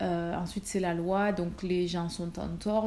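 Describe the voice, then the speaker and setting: At a moderate pace and medium pitch, a woman speaks with a somewhat breathy, dark, mellow tone and fairly even intonation. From Marseille, southern France. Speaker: nurse and vlogger. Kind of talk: casual Q&A vlog. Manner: hesitant, many fillers.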